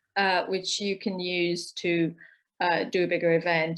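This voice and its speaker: A woman speaks in a monotone, flat intonation. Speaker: co-op organizer and co-founder. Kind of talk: online talk session. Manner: many filler words and repetitions.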